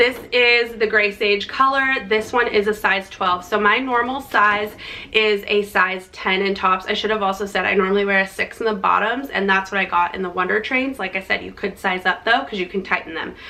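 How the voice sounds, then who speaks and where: The intonation stays fairly even. There is noticeable background noise. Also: woman, medium pitch for a woman, moderate pace. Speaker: fitness and lifestyle vlogger. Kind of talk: product review vlog. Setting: outdoors, windy.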